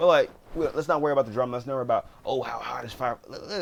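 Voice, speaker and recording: A man mumbling at a very fast pace. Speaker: gaming YouTuber. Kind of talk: casual video commentary. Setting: home recording at PC. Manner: halting, repetitive restarts.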